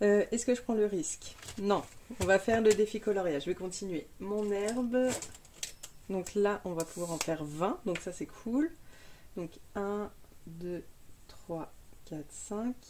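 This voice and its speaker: A woman at medium pitch talks very slowly, leaving long, frequent pauses, with ordinary pitch variation. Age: 30s. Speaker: budgeting youtuber. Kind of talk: casual tutorial.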